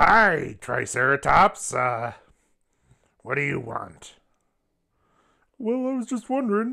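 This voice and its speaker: In a cartoonish character voice at a middle pitch, the speaker moves at a fairly slow pace with very wide pitch swings and long, frequent pauses. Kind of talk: improvised comedy dialogue. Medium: puppet.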